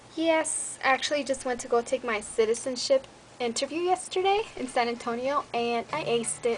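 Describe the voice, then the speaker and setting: Moderate pace against noticeable background noise. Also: woman, high pitch for a woman, ordinary pitch variation. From Mexico (Michoacán), raised in US. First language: Spanish. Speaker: beauty vlogger, army soldier. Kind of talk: casual vlog chat. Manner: animated.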